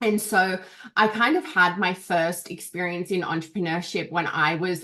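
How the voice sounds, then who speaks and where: A woman speaks with an Australian accent and a fairly low pitch. Her tone is bright and sharp, her intonation fairly even. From Australia, Canberra. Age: 30s. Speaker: business coach. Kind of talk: interview.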